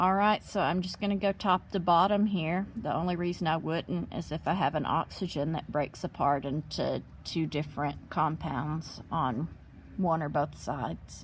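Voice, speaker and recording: Recorded very cleanly against a silent background, a woman with a very deep, low pitch and vocal fry speaks with ordinary pitch variation. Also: moderate pace. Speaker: chemistry teacher. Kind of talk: tutorial.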